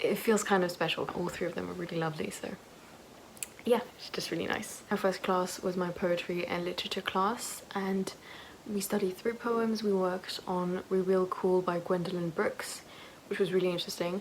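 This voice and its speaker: Amid noticeable background noise, a woman speaks at a moderate pace in a medium-pitched, monotone voice with flat intonation. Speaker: university student vlogger. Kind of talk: casual vlog narration. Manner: hesitant with fillers.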